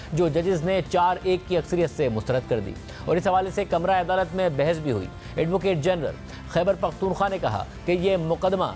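Clear music plays in the background as a man speaks at a moderate pace. His pitch is high, with ordinary variation. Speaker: news anchor. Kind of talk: news presentation. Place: studio.

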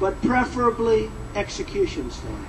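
There's noticeable noise in the background. A man does the talking. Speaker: speaker. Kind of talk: rally speech. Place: hall. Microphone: podium.

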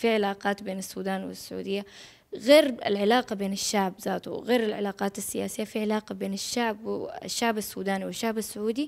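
A woman talks at a fairly quick pace with fairly even intonation against a quiet background. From Saudi Arabia (Jeddah and Riyadh), Sudanese family. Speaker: actress. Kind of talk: interview. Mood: calm, warm. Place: home room. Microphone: handheld.

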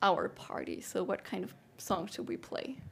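A woman with a German accent and vocal fry, at a moderate pace. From Germany. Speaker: music interviewer. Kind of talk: interview. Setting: studio. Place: studio. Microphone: headset.

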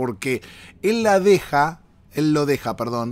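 A man with a Rioplatense accent speaks in an animated tone at a fairly high pitch. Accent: Argentine Rioplatense Spanish. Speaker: podcast host. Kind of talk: casual monologue. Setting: travelling, recording in Miami.

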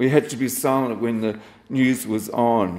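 The speaker has an Australian accent and a flat, monotone delivery. The pace is fairly slow. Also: man. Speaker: poet. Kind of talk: poetry reading at a live event. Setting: stage with audience. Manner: wry, self-deprecating, casual. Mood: reflective, nostalgic. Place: cafe. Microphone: handheld.

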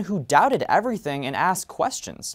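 Against a quiet background, a man keeps to a moderate pace as he speaks. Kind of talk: competitive speech. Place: stage.

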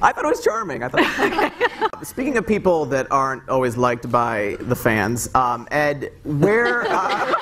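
A man at a fairly slow pace, with light background noise. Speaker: panel moderator. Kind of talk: live panel moderator questions. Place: stage.

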